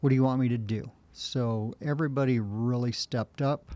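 In a very clean recording with a silent background and a dry, close sound with no echo, a man speaks at a medium pitch with ordinary pitch variation in a plain, everyday voice. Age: 60s. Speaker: race director and ultrarunner. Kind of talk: casual interview.

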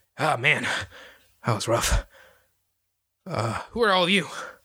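Putting on a character voice, a man speaks at a fairly high pitch. His pace is fairly slow, and his pitch swings very widely. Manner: put-on character voice.

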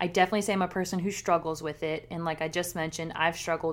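Using a plain, everyday voice, a woman speaks at a fairly low pitch with fairly even intonation. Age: 30s. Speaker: podcast co-host. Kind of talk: casual chat.

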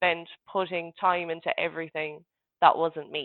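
A woman's unremarkable speaking voice, fairly low in pitch, with fairly even intonation. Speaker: fitness coaching client. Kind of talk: casual interview. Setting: video call.

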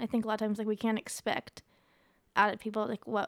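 Dry and close with no echo, a woman's unremarkable speaking voice, fairly high in pitch, moves at a fairly quick pace with fairly even intonation. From Ohio. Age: 20s. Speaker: grieving guest sharing her story. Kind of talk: casual interview about grief.

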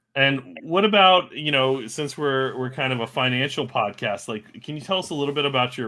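A man speaks with an American accent in an ordinary speaking voice. His pace is moderate and his pitch varies normally. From United States. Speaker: podcast co-host. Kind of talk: casual interview.

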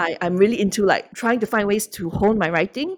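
This is a woman with a medium pitch. She talks at a very fast pace. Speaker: children's book author. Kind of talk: casual interview.

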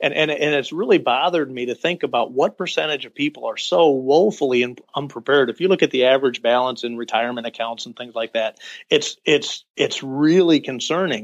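A man with a plain, everyday voice, fairly high in pitch, fairly quick and with hardly any pauses, ordinary pitch variation and big swings in loudness, dry and close with no echo over a quiet background. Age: 50s. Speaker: corporate employee nearing retirement, finance blogger. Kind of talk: interview.

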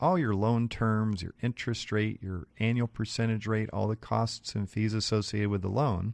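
An unremarkable speaking voice with an American accent moves at a moderate pace with ordinary pitch variation. The sound is dry and close with no echo, over a quiet background. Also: man. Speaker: mortgage lender radio co-host. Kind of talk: radio talk show. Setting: studio. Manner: joking.

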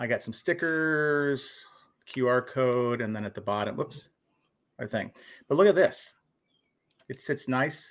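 Man with an American accent, medium pitch, ordinary pitch variation, fairly slow pace and long, frequent pauses. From Minnesota. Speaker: paranormal podcast host. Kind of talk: casual chat. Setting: video call with guests.

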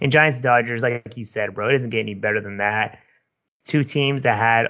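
Here is a man with a Bay Area accent. His pitch sits in the medium range, and his intonation is fairly even. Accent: Bay Area California. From San Francisco Bay Area. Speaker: podcast co-host. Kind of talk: casual chat. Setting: video call.

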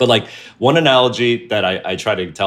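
A man talks with a New Jersey accent. The recording is very clean, with a silent background. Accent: American (New Jersey). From New Jersey, US. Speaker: creative director and entrepreneur. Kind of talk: casual chat.

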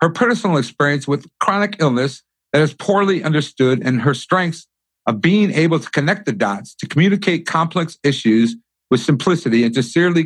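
A man with an ordinary speaking voice, lively intonation and a moderate pace. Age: 50s. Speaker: podcast host. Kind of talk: scripted introduction; interview.

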